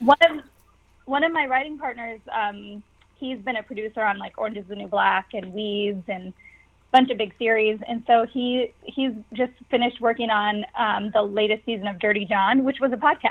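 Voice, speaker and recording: A woman with a normal speaking voice talks at a moderate pace in a fairly high voice, with ordinary pitch variation and big swings in loudness. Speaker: comedian and actress. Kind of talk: casual interview. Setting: remote call from home.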